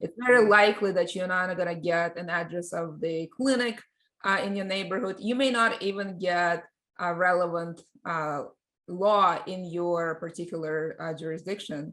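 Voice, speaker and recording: A woman with a Russian accent talks at a moderate pace and a fairly low pitch over a quiet background. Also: ordinary pitch variation. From Russia (born in Ukraine). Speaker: tech company CEO and lawyer. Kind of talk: podcast interview. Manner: halting with many fillers.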